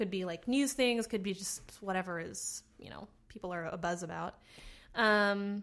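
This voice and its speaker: A woman at medium pitch has a plain, everyday voice, speaking at a moderate pace with ordinary pitch variation. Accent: American. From New Jersey, US. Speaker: comedy writer. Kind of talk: casual interview chat.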